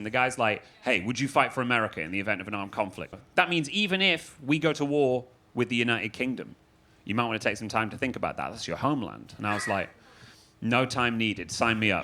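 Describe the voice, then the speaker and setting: This man talks at a very fast pace with a Manchester accent. His voice sits at a medium pitch with a bright, sharp tone and ordinary pitch variation. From Manchester, England. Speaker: comedian and freestyle rapper. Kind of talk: stand-up comedy set.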